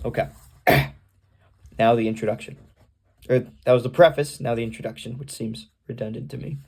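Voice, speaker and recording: Using vocal fry, a man with a medium pitch speaks in a dark, mellow tone with lively intonation. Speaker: vlogger. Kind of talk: casual vlog monologue. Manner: halting, many fillers.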